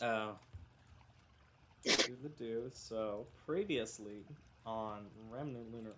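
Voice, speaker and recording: A man's medium-pitched voice with a bright, sharp tone, very slow pace and long, frequent pauses. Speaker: game master. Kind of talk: tabletop game recap. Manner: casual, filler-heavy.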